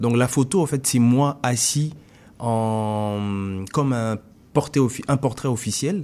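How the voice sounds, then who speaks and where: A man speaks very slowly at a medium pitch, his tone dark and mellow with ordinary pitch variation. The recording is very clean, with a silent background. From Congo (Kinshasa). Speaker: visual artist. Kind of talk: interview. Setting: radio studio.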